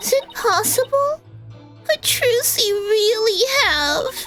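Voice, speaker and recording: A woman's put-on character voice with very wide pitch swings, over clear music in the background. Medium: game stream. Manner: switches between sugary sweetness and venom.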